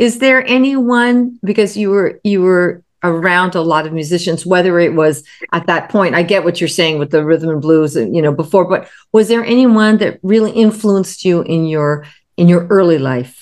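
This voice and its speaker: This woman has a fairly low pitch and lively intonation. She speaks at a moderate pace. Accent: American. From California. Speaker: jazz singer, co-interviewer. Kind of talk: interview. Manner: halting, many fillers and repeats.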